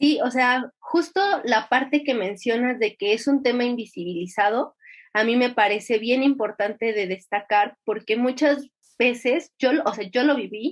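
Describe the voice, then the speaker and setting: A woman's high voice moves with ordinary pitch variation. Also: fairly slow pace. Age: 20s. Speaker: competitive swimmer. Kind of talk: interview testimony. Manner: halting.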